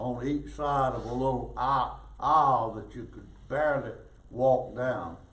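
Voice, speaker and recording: A man at a very slow pace, medium in pitch, with vocal fry and audible room echo. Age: 80s+. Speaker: war veteran. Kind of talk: storytelling talk to an audience.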